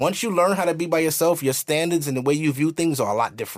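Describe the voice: A man's fairly high voice at a fast pace, with ordinary pitch variation, on a very clean recording against a silent background.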